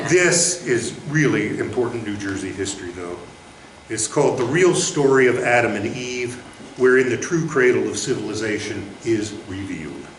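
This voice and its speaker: Here a man speaks with lively intonation at a medium pitch and a moderate pace. Noticeable background noise can be heard. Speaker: poet, former state poet laureate. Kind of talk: poetry reading at a live literary event.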